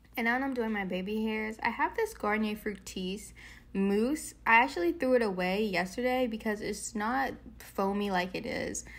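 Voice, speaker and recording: A woman's unremarkable speaking voice, fairly high in pitch, with ordinary pitch variation at a moderate pace. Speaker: beauty YouTuber. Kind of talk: tutorial. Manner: casual.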